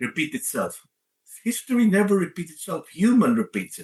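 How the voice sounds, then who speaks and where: The speaker talks at a moderate pace with a Filipino accent. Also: man. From Philippines. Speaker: leadership coach and author. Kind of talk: interview.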